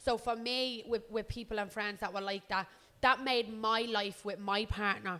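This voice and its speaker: Loud, fairly high-pitched woman's voice in a Dublin accent, with a bright, sharp tone, ordinary pitch variation and a moderate pace. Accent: Dublin Irish. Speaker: podcast co-host. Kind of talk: casual chat.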